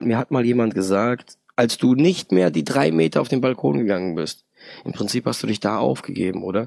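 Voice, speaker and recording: This man has a plain, everyday voice, fairly low in pitch, with lively intonation at a moderate pace. The sound is dry and close with no echo. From Hesse, Germany (Darmstadt). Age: 30s. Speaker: chemical plant supervisor, recovering alcoholic. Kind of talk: personal testimony interview.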